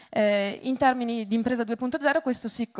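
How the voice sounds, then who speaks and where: A woman with a Venetian accent and ordinary pitch variation, recorded with a dry, close sound, no echo and a quiet background. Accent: Venetian Italian. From Veneto, northern Italy. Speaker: entrepreneur, business founder. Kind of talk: conference talk. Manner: hesitant, many fillers.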